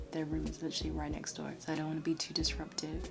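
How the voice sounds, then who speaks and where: The voice is quiet. Noticeable background noise runs beneath it. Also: woman. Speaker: beauty vlogger. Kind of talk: hair tutorial wrap-up. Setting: at home at night. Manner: quiet, hushed.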